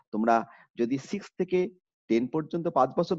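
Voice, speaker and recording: Against a quiet background, a man speaks with vocal fry and very wide pitch swings. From northern Bangladesh, Kurigram; northern Bangladesh. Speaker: college teacher. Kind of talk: online lecture. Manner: formal. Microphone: webcam.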